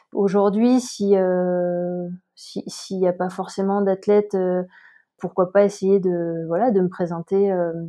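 The woman's intonation is monotone and flat. She talks at a very slow pace. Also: medium pitch for a woman. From southern France (Montpellier). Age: 30s. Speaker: amateur ultra-trail runner. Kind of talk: interview, personal story. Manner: hesitant, many fillers.

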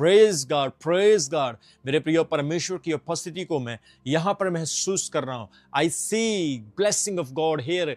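The speaker has an animated tone and ordinary pitch variation, talking at a fairly slow pace in a dry sound with no echo. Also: man, fairly high pitch for a man. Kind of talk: fervent prayer and sermon, declaring blessings. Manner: fervent, commanding, repetitive; animated, Hindi mixed with English words. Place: studio. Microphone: lapel.

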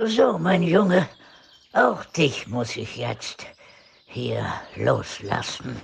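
A man's put-on character voice at a very slow pace, broken by long, frequent pauses. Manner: pompous, sarcastic.

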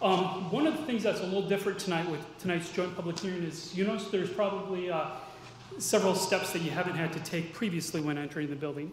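The speech moves at a very fast pace with ordinary pitch variation. Audible room echo and light background noise surround it. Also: man, high pitch for a man. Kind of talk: procedural briefing at a public meeting. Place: hall. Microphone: podium.

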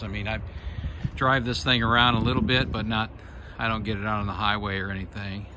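There is noticeable noise in the background. Over it, a man talks fairly quickly. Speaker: private seller showing his truck. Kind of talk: casual sales walkaround commentary. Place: street. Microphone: phone near.

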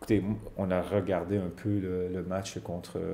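A man's fairly low, dark and mellow voice at a fairly slow pace. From Quebec. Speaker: ice hockey coach. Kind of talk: TV sports interview. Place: studio.

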